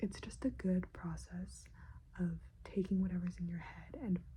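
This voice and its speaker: Soft-spoken and relaxed in tone, a woman is heard here. She speaks at a fairly slow pace. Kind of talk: ASMR soft-spoken talk to camera. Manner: soft-spoken, rambling, relaxed.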